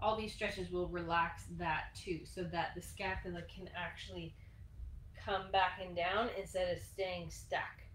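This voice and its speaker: Audible room echo follows a woman who talks at a fairly slow pace. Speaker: fitness instructor. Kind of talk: tutorial. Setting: live stream. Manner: soft-spoken.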